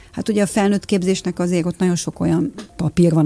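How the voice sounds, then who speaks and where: Very fast speech over noticeable background noise. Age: 50s. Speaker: lifestyle and nutrition coach. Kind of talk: radio interview.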